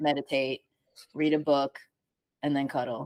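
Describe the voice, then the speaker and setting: With a dry, close sound and no echo, a woman speaks very fast in a very deep, low, monotone, flat voice. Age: 30s. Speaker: artist, musician and sound healer. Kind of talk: casual chat.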